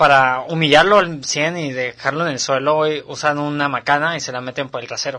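With a Mexican accent, a man talks at a fairly high pitch, his bright, sharp tone carried on fairly even intonation. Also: fairly quick pace, hardly any pauses. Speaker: podcast co-host. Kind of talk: casual chat.

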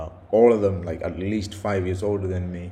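A man speaks with a very deep, low pitch and monotone, flat intonation. Audible room echo surrounds his voice. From India and the UK. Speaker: podcaster, software developer. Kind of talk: solo monologue. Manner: halting, many fillers and repetitions; casual.

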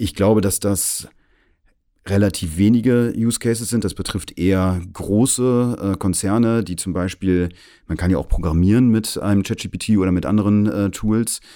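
A man speaks at a moderate pace in a fairly low pitch, his tone dark and mellow. His intonation is fairly even, and the recording is very clean with a silent background. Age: 40s. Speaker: AI consultant. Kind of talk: interview.

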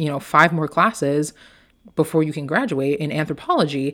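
Over a silent background in a very clean recording, a woman talks at a fairly quick pace with a very deep, low pitch. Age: 20s. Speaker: life coach and podcast host. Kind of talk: personal story monologue. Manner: casual with filler words.

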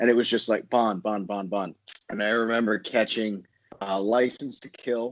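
Speaking with an American accent, a man has a fairly low pitch. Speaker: podcast guest.

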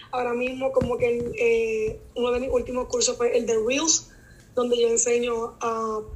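A high-pitched woman's voice in a Puerto Rican accent, monotone and flat, at a fairly slow pace. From Puerto Rico (Naranjito). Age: 20s. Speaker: teacher and content creator. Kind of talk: casual interview.

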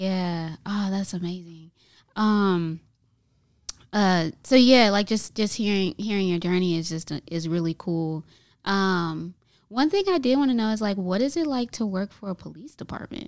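A woman of medium pitch speaks at a fairly slow pace with ordinary pitch variation on a very clean recording with a silent background. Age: young. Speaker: community center podcast host. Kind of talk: casual interview. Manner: hesitant, many fillers.

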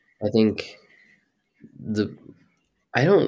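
With ordinary pitch variation, a man talks at a very slow pace. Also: very clean recording, silent background. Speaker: podcast co-host, host's son. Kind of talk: casual chat. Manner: unemotional, stoic.

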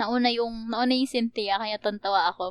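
With a high pitch, a woman speaks at a moderate pace in a dry, close sound with no echo. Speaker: podcast co-host. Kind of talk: casual chat.

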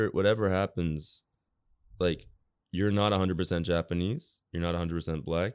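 A man's very deep, low voice with a New York accent at a fairly quick pace, on a very clean recording with a silent background. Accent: New York American. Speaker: designer. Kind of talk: casual chat.

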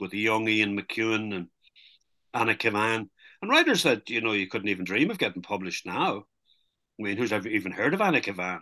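Against a quiet background, a man races along at a very fast pace. His tone is bright and sharp. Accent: Irish. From Ireland, border county. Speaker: novelist. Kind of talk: interview. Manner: hesitant, many fillers.

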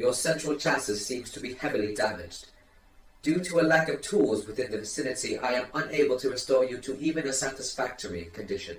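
A man does a robotic put-on character voice at medium pitch and a very fast pace.

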